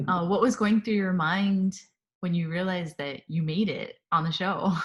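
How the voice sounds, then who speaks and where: A woman speaks at a moderate pace in a somewhat breathy voice, her intonation fairly even. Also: medium pitch for a woman. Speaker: interviewer. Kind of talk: interview questions.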